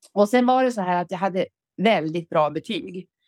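A woman speaks at a moderate pace with very wide pitch swings, in a dry, close sound with no echo on a very clean recording with a silent background. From Ångermanland, northern Sweden. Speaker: retired factory worker and author. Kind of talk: casual interview.

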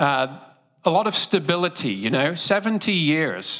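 With a British accent, the speaker uses a bright, sharp tone at a fairly slow pace. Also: man. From Great Britain. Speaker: preacher. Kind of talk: sermon. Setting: church.

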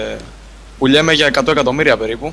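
A man is speaking. His pace is very fast. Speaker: gaming site contributor. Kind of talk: casual chat.

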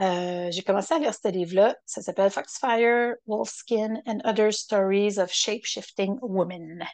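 A woman with a Quebec accent talks at a fairly slow pace with hardly any pauses and ordinary pitch variation. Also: medium pitch for a woman. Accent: Québécois French. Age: 50s. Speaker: podcaster. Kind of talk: solo reflective monologue. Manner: halting.

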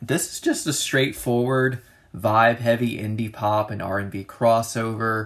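The speaker is a man. He talks at a medium pitch. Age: 20s. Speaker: music review podcaster. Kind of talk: solo casual music review. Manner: frequent filler words and hesitations.

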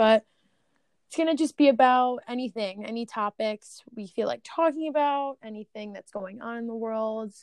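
With an American accent, a woman speaks at a moderate pace and a fairly high pitch, with ordinary pitch variation. Her loudness swings widely, and the sound is dry and close with no echo. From New Jersey. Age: 20s. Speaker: podcast co-host. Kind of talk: casual chat.

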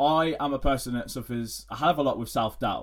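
In a very clean recording with a silent background, a man of medium pitch speaks at a moderate pace. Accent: English. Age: 20s. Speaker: fitness coach. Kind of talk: solo podcast monologue. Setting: home recording at laptop. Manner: halting.

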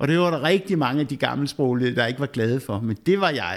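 Over a silent background in a very clean recording, a man has a normal speaking voice, a fairly high pitch and lively intonation. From Denmark, western Zealand (Slagelse). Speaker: pastor. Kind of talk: casual chat. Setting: rectory.

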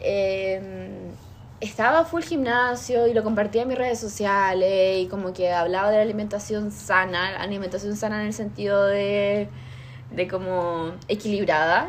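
A woman at medium pitch and a fairly slow pace, with audible room echo and noticeable background noise. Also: ordinary pitch variation. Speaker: podcast host. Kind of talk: casual chat.

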